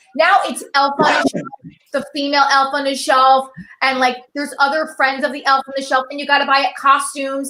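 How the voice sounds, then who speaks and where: A woman's raised, projected voice, high in pitch and animated in tone, at a fairly quick pace. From Italian-American household, US. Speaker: stand-up comedian. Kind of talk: stand-up. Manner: fast.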